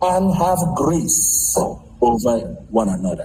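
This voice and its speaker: A man is speaking. Audible echo from the room surrounds his voice. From Nigeria. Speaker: Nigerian community member, ministry worker. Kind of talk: casual interview.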